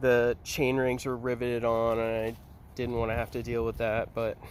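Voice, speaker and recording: Mumbling at a fairly slow pace, a man talks at medium pitch. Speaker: parent. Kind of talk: casual talk to camera. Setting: outdoors. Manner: says um a lot, mumbling.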